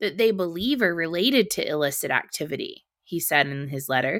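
With very wide pitch swings and a bright, sharp tone, the voice moves at a fairly quick pace on a very clean recording with a silent background. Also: woman. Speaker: podcast host. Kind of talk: news commentary reading headlines aloud with snarky asides. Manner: brisk, clear newsreader delivery, sarcastic and pointed on asides; formal, even tone when reading quoted statements.

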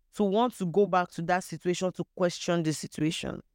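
A woman's medium-pitched voice with a Nigerian accent at a moderate pace, in a very clean recording with a silent background and a dry, close sound with no echo. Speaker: podcast guest sharing personal story. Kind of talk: personal testimony in casual chat.

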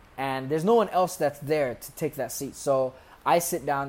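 With an American accent, a man speaks fairly quickly in an ordinary speaking voice, fairly high in pitch with ordinary pitch variation. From US Midwest (Columbus, Ohio), Somali family. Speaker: poet. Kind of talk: casual chat.

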